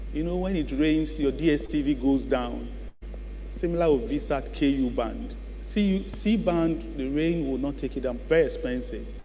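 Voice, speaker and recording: Noticeable background noise and audible room echo surround the recording. A man talks at a moderate pace. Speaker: business founder and keynote speaker. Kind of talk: keynote speech.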